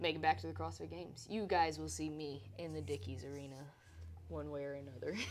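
A woman speaks very fast in a very deep, low pitch, with vocal fry and very wide pitch swings. Her loudness swings widely, and audible room echo surrounds her voice. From Louisiana. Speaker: podcast host, pro CrossFit athlete. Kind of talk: casual chat.

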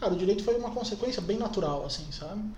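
A man speaks over noticeable background noise. Room echo is audible. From Brazil, Jaraguá do Sul (Santa Catarina). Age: 20s. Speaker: lawyer. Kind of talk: interview. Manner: halting, many fillers.

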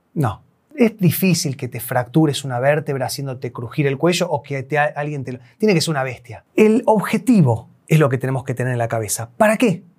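A man's fairly high, somewhat breathy voice at a fairly quick pace, with lively intonation and hardly any pauses. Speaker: chiropractor / spine health professional. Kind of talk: educational explainer video.

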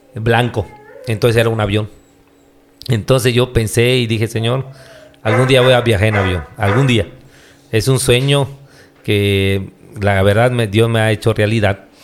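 The speech moves at a fairly slow pace with fairly even intonation and long, frequent pauses, over noticeable background noise. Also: man, medium pitch for a man. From Yucatán, Mexico. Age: 40s. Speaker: pastor. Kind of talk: casual interview. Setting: on location, not in the studio.

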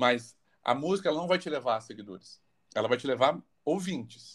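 The man's fairly high voice carries lively intonation. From Barretos, São Paulo state, Brazil. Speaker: singer-songwriter. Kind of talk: casual interview.

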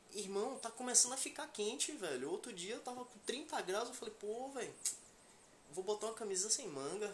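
The speaker keeps a moderate pace with noticeable background noise in the recording. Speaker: podcast co-host. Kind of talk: casual chat.

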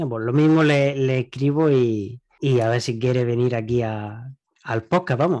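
This man's tone is dark and mellow. He moves at a fairly slow pace with ordinary pitch variation. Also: medium pitch for a man. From Spain. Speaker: podcast host. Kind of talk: interview.

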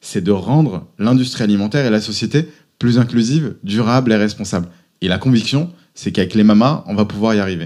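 A plain, everyday voice at a fairly quick pace, in a very clean recording with a silent background. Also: man, fairly low pitch for a man, ordinary pitch variation. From France, Auvergne. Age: 30s. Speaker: entrepreneur. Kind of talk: interview.

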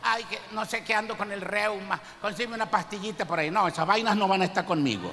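A man's raised, projected, high-pitched voice, very fast and fairly even in intonation, with noticeable background noise. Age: 60s. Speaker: pastor. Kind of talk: sermon.

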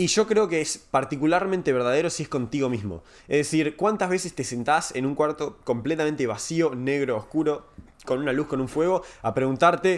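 This man has a plain, everyday voice, fairly high in pitch, with ordinary pitch variation and a moderate pace. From Uruguay. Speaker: tech startup growth advisor. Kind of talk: casual chat.

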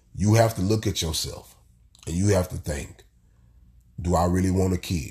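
A man speaks in a fairly low, somewhat breathy voice. His tone is animated, with ordinary pitch variation. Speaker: solo podcaster. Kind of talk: casual monologue. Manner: animated, repetitive emphasis.

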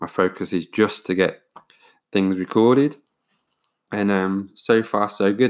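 Speaking fairly slowly with an English accent, a man keeps a fairly even intonation and takes long, frequent pauses on a very clean recording with a silent background. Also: fairly low pitch for a man. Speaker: podcast host. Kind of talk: casual solo monologue. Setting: home recording with USB microphone. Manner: hesitant, many fillers.

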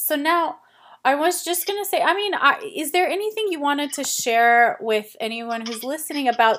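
A woman with an American accent speaks at a moderate pace in an ordinary speaking voice, her intonation lively. The recording is very clean, with a silent background. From United States. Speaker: podcast host. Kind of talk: interview.

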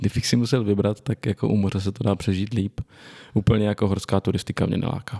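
The man's voice has a dark, mellow tone. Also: dry, close sound with no echo. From northern Bohemia, Czechia (Litoměřice area). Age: 20s. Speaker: podcast host and protestant preacher. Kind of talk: casual chat.

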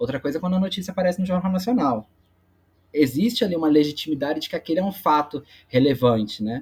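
This man's speech rushes along at a very fast pace. Lively intonation runs through it. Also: fairly high pitch for a man. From Brazil, Baixada Fluminense (Magé, Rio de Janeiro). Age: 20s. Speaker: sociologist and researcher. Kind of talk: interview conversation.

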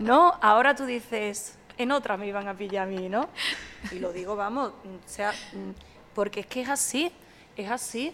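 Speaking at a fairly high pitch with lively intonation, a woman leaves long, frequent pauses and swings widely in loudness over noticeable background noise. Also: moderate pace. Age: 40s. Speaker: sommelier and social media communicator. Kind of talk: casual chat.

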